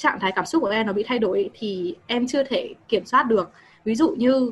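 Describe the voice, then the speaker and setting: A woman's fairly high, somewhat breathy voice with lively intonation at a moderate pace. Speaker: university student, audience member. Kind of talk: audience question. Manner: halting.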